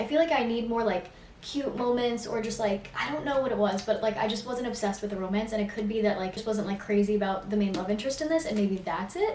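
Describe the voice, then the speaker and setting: A woman speaks at a very fast pace with hardly any pauses, using a fairly high pitch and ordinary pitch variation. Noticeable background noise and audible room echo surround her. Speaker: booktuber. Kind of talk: casual vlog chat. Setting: at home.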